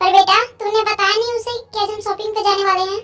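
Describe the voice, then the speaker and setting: In a put-on character voice, a female-sounding speaker goes squeaky and extremely high-pitched, rattling along at a very fast pace with monotone, flat intonation. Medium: fan dub. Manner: warm, motherly.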